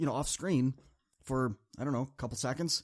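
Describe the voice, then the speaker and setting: A man talks at a very fast pace in an energetic tone. The recording is very clean, with a silent background. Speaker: motivational speaker and podcast host. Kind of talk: podcast monologue. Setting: studio. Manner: energetic, amped up.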